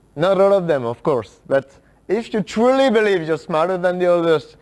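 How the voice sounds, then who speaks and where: A man talks with a French accent. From France. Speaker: workshop speaker. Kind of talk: talk to an audience. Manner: halting, many fillers.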